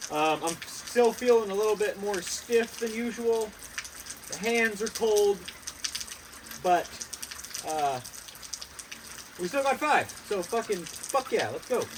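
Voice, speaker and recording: Against noticeable background noise, a man speaks very slowly at a high pitch, with ordinary pitch variation and long, frequent pauses. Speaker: fitness vlogger. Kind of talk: casual vlog. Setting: outdoors. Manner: animated.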